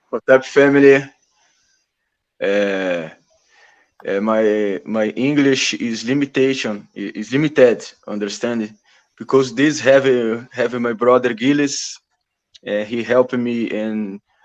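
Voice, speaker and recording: A man with a Brazilian Portuguese accent speaks at a medium pitch with ordinary pitch variation. His pace is very slow, with long, frequent pauses. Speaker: activist. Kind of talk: interview conversation. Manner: halting.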